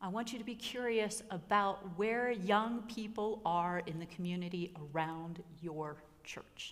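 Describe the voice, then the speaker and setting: A woman speaks fairly slowly, with ordinary pitch variation and hardly any pauses. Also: medium pitch for a woman. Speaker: pastor. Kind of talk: workshop presentation. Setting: workshop room with audience. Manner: animated.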